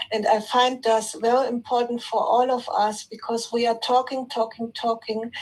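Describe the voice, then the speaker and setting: With a non-native accent, a woman speaks at a moderate pace with hardly any pauses, her fairly high pitch held in monotone, flat intonation. Noticeable background noise is present. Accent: non-native English, apologizes for it. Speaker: participant in online spiritual session. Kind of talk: spiritual sharing in group call. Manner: halting, with fillers and repetitions.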